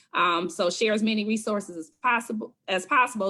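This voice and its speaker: Recorded very cleanly with a silent background, a woman with an American accent speaks at a fairly high pitch in a bright, sharp tone. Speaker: talk show host. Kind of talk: live talk show. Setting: livestream. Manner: halting.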